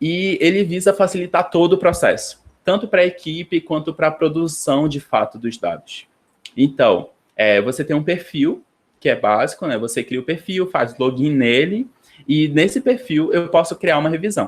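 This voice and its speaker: This man talks with a high pitch and lively intonation. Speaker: graduate student presenting a class. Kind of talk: online lecture tutorial. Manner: fast; hesitant, many fillers.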